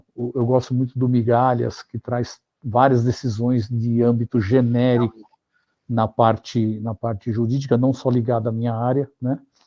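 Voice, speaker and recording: A man's medium-pitched voice moves at a fairly slow pace with monotone, flat intonation. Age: 60s. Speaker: finance executive and consultant. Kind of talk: interview. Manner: halting, many fillers and repetitions.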